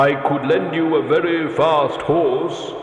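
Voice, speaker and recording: A put-on character voice comes through at a fairly slow pace with a clear echo. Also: man, fairly high pitch for a man. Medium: read story. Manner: solemn, archaic "thee".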